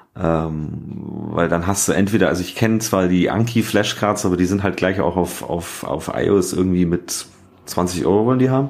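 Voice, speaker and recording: Moderately paced speech from a man, his pitch very deep and low, its variation ordinary. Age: 30s. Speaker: podcast co-host, app developer. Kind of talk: casual chat.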